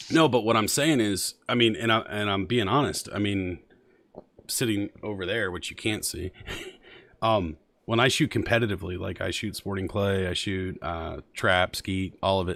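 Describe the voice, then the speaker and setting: Heard in a very clean recording over a silent background, a man with an ordinary speaking voice and fairly low pitch talks at a moderate pace with ordinary pitch variation. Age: 40s. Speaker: streamer. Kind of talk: casual chat.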